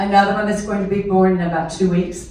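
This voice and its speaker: Noticeable background noise and audible room echo surround a woman speaking at medium pitch. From US South, southern Mississippi. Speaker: retired teacher, guest speaker. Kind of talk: public speech. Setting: stage with audience. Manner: animated.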